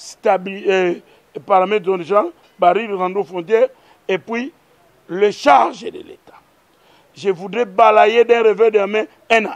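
Speaking at a very slow pace with long, frequent pauses, a man with a high pitch shows ordinary pitch variation and big swings in loudness. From DR Congo. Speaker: politician. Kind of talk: political commentary.

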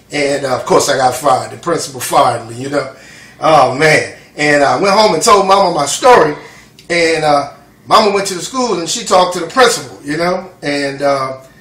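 A man speaks at a moderate pace with lively intonation and fairly high pitch. Audible room echo surrounds his voice. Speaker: son of the documentary subject. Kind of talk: interview answer. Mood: warm, amused, laughing. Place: kitchen.

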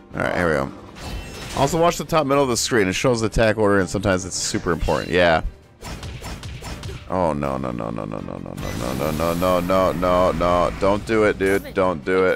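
Music plays in the background as a man talks at a fairly quick pace. His very deep, low voice swings very widely in pitch. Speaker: gamer streamer. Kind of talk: casual gameplay commentary.

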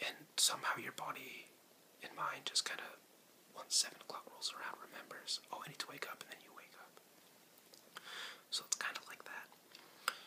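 This man is whispering at a moderate pace. The volume of his whisper rises and falls sharply. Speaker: ASMR creator. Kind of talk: relaxation presentation. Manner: whispered, soft-spoken. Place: home room. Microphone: webcam.

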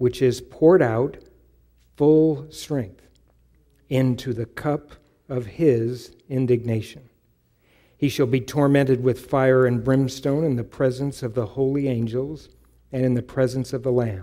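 A man's fairly evenly intoned speech, broken by long, frequent pauses, over a quiet background. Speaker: pastor. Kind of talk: sermon. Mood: solemn, measured. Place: church. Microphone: headset.

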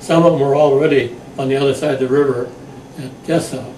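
With light background noise and audible room echo, a man speaks at a moderate pace with ordinary pitch variation. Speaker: WWII veteran. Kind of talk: oral history interview answer. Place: home room. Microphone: camera far.

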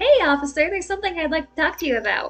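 A woman speaks very fast in a put-on character voice. Faint music plays in the background.

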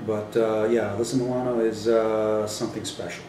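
Noticeable background noise surrounds a man with an American accent. He talks at a very fast pace, his medium pitch in fairly even intonation. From California. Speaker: voice actor. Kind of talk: casual interview answer.

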